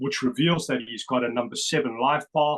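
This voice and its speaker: Speaking with a South African accent, a man uses a fairly high pitch with ordinary pitch variation, and the sound is dry and close with no echo. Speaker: numerology researcher. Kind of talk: interview presentation. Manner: animated.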